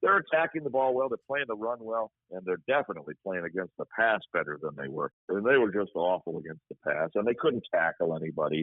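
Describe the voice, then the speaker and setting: With hardly any pauses, a man talks at a fairly quick pace and medium pitch, his voice swinging very widely in pitch. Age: 60s. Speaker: radio play-by-play sports broadcaster. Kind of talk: casual interview chat.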